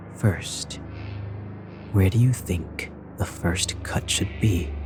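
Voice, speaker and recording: A man's put-on character voice, very deep and low, at a very slow pace over clear background noise. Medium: game stream. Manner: cold, clinical.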